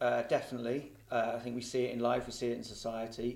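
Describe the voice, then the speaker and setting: With audible room echo around him, a man speaks at a medium pitch and a moderate pace. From Liverpool, England. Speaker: football journalist. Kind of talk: casual chat.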